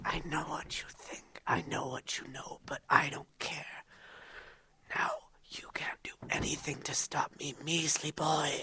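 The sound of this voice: A woman whispers in a put-on character voice with a husky, rough edge. She goes at a fairly slow pace.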